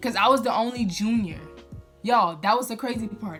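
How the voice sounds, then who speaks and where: Music in the background behind a fairly quick-paced woman. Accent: American. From Louisiana, USA. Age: 20s. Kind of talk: casual storytime talk to camera.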